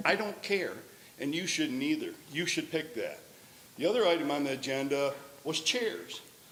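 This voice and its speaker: Fairly high-pitched male voice at a fairly quick pace with ordinary pitch variation, over noticeable background noise and audible room echo. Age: 60s. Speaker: public commenter at school board meeting. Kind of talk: public comment. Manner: animated.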